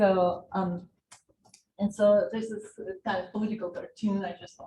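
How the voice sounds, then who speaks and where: A woman with a Russian accent speaks at a moderate pace, her pitch medium and her tone dark and mellow. Her voice is somewhat breathy, and her intonation stays fairly even. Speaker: political science professor. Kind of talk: lecture.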